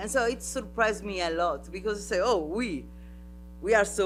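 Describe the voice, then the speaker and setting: A man with an Italian accent at a moderate pace. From Sardinia. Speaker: artist and festival artistic director. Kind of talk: panel talk. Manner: halting.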